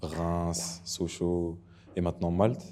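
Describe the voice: Low-pitched male voice with a dark, mellow tone, little pitch movement, and a slow pace.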